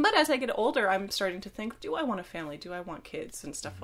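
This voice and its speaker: Very wide pitch swings at a very fast pace. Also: woman. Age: 20s. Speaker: film student. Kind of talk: casual chat.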